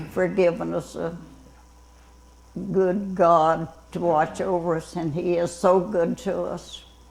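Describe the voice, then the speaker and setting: Speaking very slowly with a Southern US accent, a woman uses a fairly low pitch and fairly even intonation. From Louisiana. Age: 80s+. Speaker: retired fire tower lookout. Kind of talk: interview answer.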